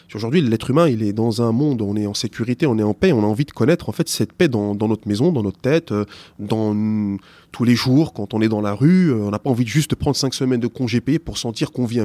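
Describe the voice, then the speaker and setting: On a very clean recording with a silent background and a dry, close sound with no echo, a man talks at a very fast pace with lively intonation, a medium pitch and a dark, mellow tone. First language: not French (speaking French). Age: 40s. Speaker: teacher. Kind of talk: interview. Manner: halting, many repetitions.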